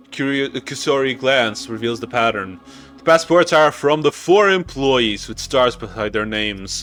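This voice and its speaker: With music in the background, a man speaks at a moderate pace in a medium pitch, with lively intonation and big swings in loudness. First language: Portuguese. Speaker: gaming YouTuber. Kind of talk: reading a visual novel aloud; casual chat.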